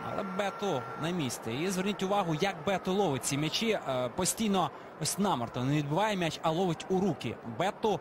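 High pitch from a male speaker, noticeable background noise underneath. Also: ordinary pitch variation, moderate pace. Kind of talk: live football commentary, co-commentator.

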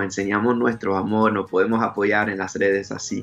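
Music plays in the background. A man speaks at a moderate pace in a fairly low pitch with monotone, flat intonation. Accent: English. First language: English (speaking Spanish). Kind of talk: interview. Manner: halting.

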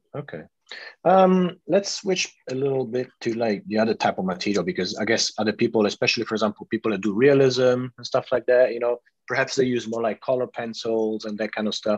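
With a normal speaking voice, a man at a medium pitch talks at a fairly quick pace with lively intonation, the sound dry and close with no echo. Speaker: artist and interviewer. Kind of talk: interview. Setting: video call.

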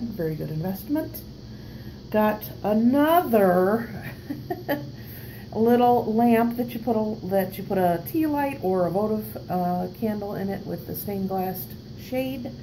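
Over light background noise, the voice moves at a fairly slow pace with very wide pitch swings and long, frequent pauses. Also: woman. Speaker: reseller showing purchases. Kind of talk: casual vlog chat. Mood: pleased, upbeat. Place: home room. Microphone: phone near.

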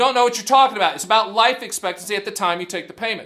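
A man with an American accent uses a raised, projected voice with a bright, sharp tone. The background is quiet. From US South, the Carolinas. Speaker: annuity advisor and channel host; channel host. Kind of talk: casual video talk to camera. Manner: animated. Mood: light-hearted, mocking. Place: studio.

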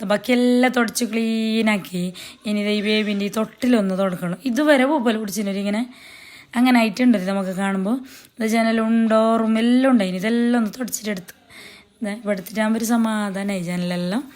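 A woman with a northern Kerala accent speaks at a fairly high pitch with fairly even intonation. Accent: Kasaragod Malayalam dialect. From Kerala, Kasaragod. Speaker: cooking and family vlogger. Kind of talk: casual vlog narration.

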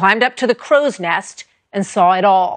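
The woman has an unremarkable speaking voice at medium pitch, with ordinary pitch variation and a moderate pace, in a dry, close sound with no echo. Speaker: TV news anchor. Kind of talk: TV news introduction.

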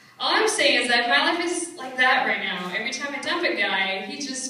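A woman speaks with lively intonation amid strong room echo and light background noise. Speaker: stand-up comedian. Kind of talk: stand-up comedy set. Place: stage. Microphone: pa.

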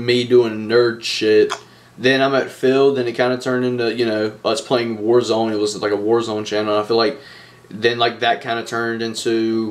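A man at a moderate pace in a monotone, flat intonation. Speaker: channel co-host. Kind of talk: casual vlog chat. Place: home room. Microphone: webcam.

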